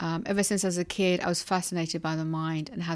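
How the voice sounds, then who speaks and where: With a London accent, a woman of fairly low pitch speaks at a moderate pace in a monotone, flat intonation. The recording is very clean, with a silent background. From London, England. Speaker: hypnotherapist and kinesiologist. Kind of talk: interview.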